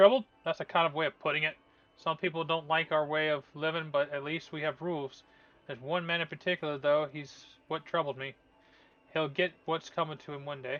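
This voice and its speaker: Putting on a gruff character voice, a man talks at a fairly quick pace with a fairly high pitch. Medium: game stream. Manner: gruff, suspicious.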